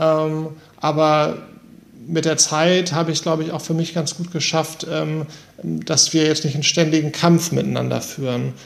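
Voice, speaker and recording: A man with an unremarkable speaking voice talks at a fairly slow pace, his fairly high pitch kept in fairly even intonation. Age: 40s. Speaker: manager and person with MS. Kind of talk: interview. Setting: remote call.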